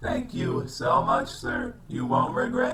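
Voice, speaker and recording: This man uses a put-on character voice. It sits fairly high in pitch and moves at a fairly slow pace. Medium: comedy sketch. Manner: formal, stiff, no contractions.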